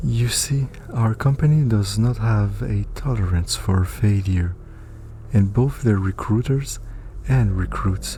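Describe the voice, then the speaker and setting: Music plays in the background. A man speaks at a very slow pace. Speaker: story narrator. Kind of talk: read story narration.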